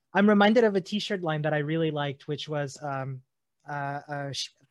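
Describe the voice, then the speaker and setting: A man with a fairly high pitch talks in a normal speaking voice at a moderate pace. His pitch variation is ordinary, and the background is quiet. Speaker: podcast host. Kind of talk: casual interview chat.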